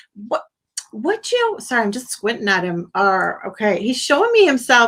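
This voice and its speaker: A woman speaks in an animated tone. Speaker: psychic medium. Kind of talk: live psychic reading on a call-in stream.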